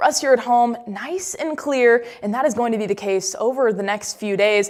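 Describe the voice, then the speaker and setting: This woman has a high pitch and an American accent. She talks at a fairly quick pace. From Indianapolis, Indiana. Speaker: meteorologist. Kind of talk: TV weather forecast.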